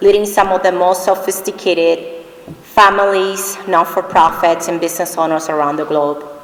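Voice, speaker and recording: Noticeable background noise runs behind a woman speaking. Her intonation is monotone and flat, in a Spanish accent. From Dominican Republic. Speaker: award recipient, finance executive. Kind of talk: award acceptance speech.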